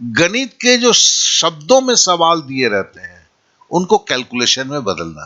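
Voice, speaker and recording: Both pitch and loudness swing widely as this man speaks. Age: 60s. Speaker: math teacher. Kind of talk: lecture.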